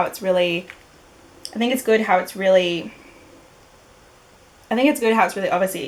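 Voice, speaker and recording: Long, frequent pauses break up a woman's speech, which shows ordinary pitch variation. Background noise is noticeable. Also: medium pitch for a woman. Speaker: beauty vlogger. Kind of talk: casual talk to camera. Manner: stuttering, hesitant.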